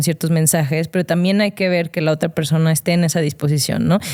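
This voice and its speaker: A woman's dark, mellow voice, fairly low-pitched, with a Mexican accent. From Mexico, León, Guanajuato. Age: 30s. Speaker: former athlete and digital strategist. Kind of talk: interview conversation. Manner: hesitant, many fillers.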